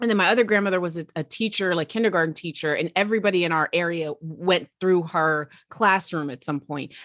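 Talking at a fairly quick pace, a woman uses an unremarkable speaking voice with ordinary pitch variation, heard dry and close with no echo. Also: fairly low pitch for a woman. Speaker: podcast host. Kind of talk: interview.

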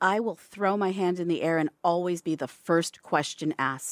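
A plain, everyday voice at a moderate pace, with a dry, close sound with no echo on a very clean recording with a silent background. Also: woman. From Toronto, Canada. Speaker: fashion entrepreneur. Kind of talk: interview. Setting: studio.

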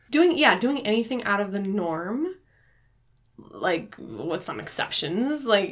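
A woman talks at a fairly slow pace in a fairly high pitch. Her pitch swings very widely. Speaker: podcast co-host, book club. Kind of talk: casual book discussion.

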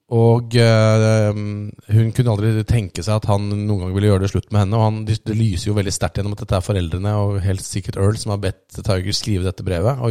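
On a very clean recording with a silent background, a man with a fairly low pitch and a dark, mellow tone talks at a very fast pace in monotone, flat intonation with hardly any pauses. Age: 40s. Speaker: podcast host. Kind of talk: casual chat.

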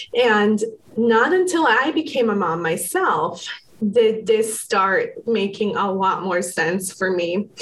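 A somewhat breathy woman speaks at a very slow pace. Her pitch is fairly high and her intonation lively. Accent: American. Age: 30s. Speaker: psychotherapist. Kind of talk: interview.

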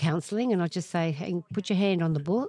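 In an Australian accent, a woman speaks at a fairly low pitch with ordinary pitch variation, the sound dry and close with no echo over a quiet background. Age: 70s. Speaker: author. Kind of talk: interview.

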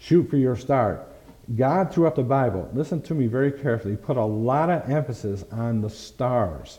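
A man's dark, mellow, somewhat breathy voice carries lively intonation. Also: medium pitch for a man, moderate pace. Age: 60s. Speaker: pastor. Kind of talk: sermon. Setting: church.

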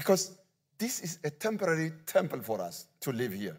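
Pitch swings very widely in this man's voice. His pace is fairly slow. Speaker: guest preacher. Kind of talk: sermon. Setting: church. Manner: halting.

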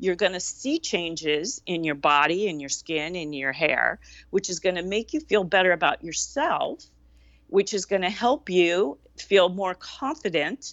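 The woman talks at a medium pitch and a fairly slow pace, with lively intonation. She has a plain, everyday voice. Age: 60s. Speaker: wellness expert and podcast host. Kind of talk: casual chat.

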